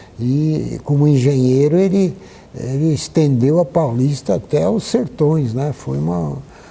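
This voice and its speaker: A man with a fairly high pitch and lively intonation talks at a fairly slow pace over noticeable background noise. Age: 80s+. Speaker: historian and architect. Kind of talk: interview.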